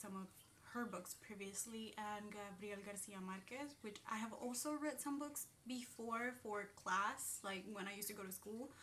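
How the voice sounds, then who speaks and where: A woman with a Spanish accent speaks at a moderate pace and fairly high pitch, with ordinary pitch variation and audible room echo. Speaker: booktuber. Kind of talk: casual vlog talk. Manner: hesitant, many fillers.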